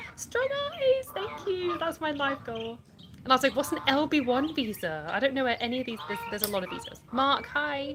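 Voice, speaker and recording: In a Yorkshire accent, a woman talks at a fairly quick pace with noticeable background noise. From Yorkshire, England. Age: 30s. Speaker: livestreamer. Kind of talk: casual chat. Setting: live stream. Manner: chatty.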